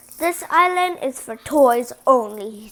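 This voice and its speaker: A woman speaks in a put-on character voice. Her pitch is high, and her pace is fairly slow. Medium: read story. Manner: dignified.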